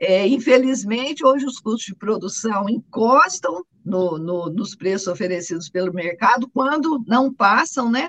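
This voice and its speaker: With a Minas Gerais accent, a woman talks at a fairly slow pace and fairly high pitch, using lively intonation and hardly any pauses. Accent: Brazilian Portuguese, Minas Gerais. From Minas Gerais, Brazil (Guaxupé). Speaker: coffee farmer. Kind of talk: interview. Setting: remote connection.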